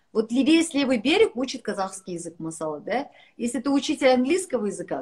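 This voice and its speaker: In a high pitch, a woman speaks at a moderate pace with an animated tone. The background is quiet. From Kazakhstan. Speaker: businesswoman; guest. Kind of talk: casual chat. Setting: video call. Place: home room. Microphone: video call.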